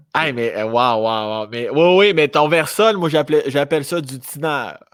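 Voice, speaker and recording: Speaking at a fairly slow pace with a Quebec accent, a man uses a fairly high pitch and lively intonation. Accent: rural Quebec French. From rural Quebec. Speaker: podcast host. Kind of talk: casual chat.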